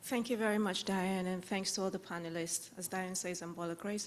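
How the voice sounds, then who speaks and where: Audible room echo surrounds a woman who speaks very fast at a medium pitch. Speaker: audience member asking a question. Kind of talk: conference Q&A question.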